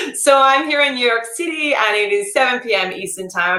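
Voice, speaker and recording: A woman with an Australian accent and lively intonation. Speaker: entrepreneur, former journalist, pay gap advocate. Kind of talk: interview.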